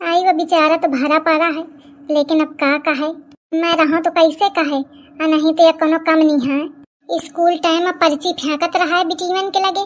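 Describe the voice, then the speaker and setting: In a cartoonish character voice, a woman speaks at a moderate pace with extremely high pitch and monotone, flat intonation. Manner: gossipy, teasing.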